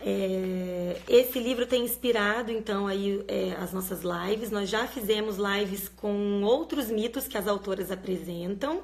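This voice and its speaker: Her pitch fairly high with ordinary variation, a woman speaks at a fairly slow pace. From Minas Gerais, Brazil (Guaxupé, south of Minas). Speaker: live stream host, reading educator. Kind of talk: live stream chat. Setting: live video stream from parents' home. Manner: casual, conversational.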